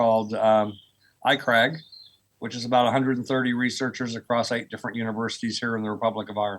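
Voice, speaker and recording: A man with an American accent talks at a very fast pace in a medium pitch. The recording is very clean, with a silent background. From US, rural Oklahoma. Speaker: professor of earth sciences. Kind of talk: podcast interview.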